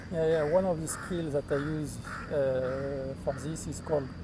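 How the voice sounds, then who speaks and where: A man with a non-native accent speaks at a moderate pace in a fairly high pitch. Audible room echo and noticeable background noise surround him. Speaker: software developer. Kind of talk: casual interview. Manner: halting, many fillers.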